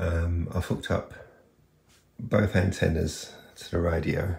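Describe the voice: Low-pitched with vocal fry and a slightly mellow tone, a man speaks slowly with little pitch movement.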